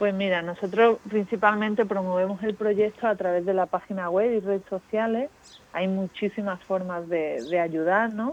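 A woman's unremarkable speaking voice, medium in pitch, at a moderate pace with fairly even intonation. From Spain, Málaga. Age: young. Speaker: aid worker at a children's home. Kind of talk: interview.

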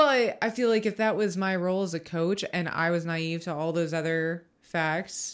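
In a very clean recording with a silent background, a woman with a normal speaking voice talks at a moderate pace, her pitch fairly low with ordinary variation. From Ohio. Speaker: college track and field throws coach. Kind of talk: casual interview chat.

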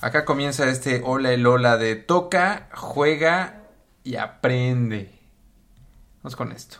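Speaking very slowly, a man at medium pitch leaves long, frequent pauses. His pitch varies in an ordinary way, while his loudness swings widely. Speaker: podcast host. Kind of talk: casual chat.

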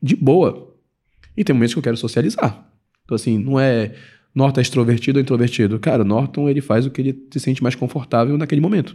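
A man's dark, mellow, somewhat breathy voice at medium pitch, very fast in pace, very even in loudness, with ordinary pitch variation. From Belém, Pará, northern Brazil. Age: 30s. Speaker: credit card educator, former engineer. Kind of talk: podcast interview. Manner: casual, filler-heavy speech.

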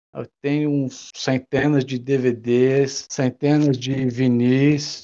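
Words come at a very slow pace. The voice has a dark, mellow tone. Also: man. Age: 40s. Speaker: former video rental store owner. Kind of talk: casual interview.

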